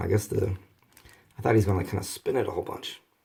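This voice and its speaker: A man's fairly low, somewhat breathy voice on a very clean recording with a silent background. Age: 30s. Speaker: toy reviewer. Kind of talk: toy review vlog. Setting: at home, near a bathroom. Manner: casual, halting.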